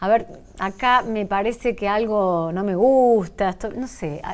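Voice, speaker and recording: Speaking very slowly, a woman keeps a fairly high pitch with ordinary pitch variation. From Argentina. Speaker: radio host. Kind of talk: interview. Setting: radio studio. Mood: friendly, light chat. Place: studio. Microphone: lapel.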